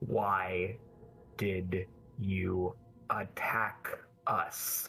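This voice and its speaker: Over music in the background, a man uses a put-on character voice that is growling, guttural and very deep, low in pitch. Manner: low muttering, threatening.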